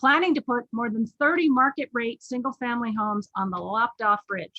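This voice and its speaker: In a Californian accent, a woman with a high pitch speaks at a fairly quick pace with ordinary pitch variation. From Los Angeles, California. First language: not English. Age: middle-aged. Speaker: professor and council candidate. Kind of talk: prepared candidate statement. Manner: formal.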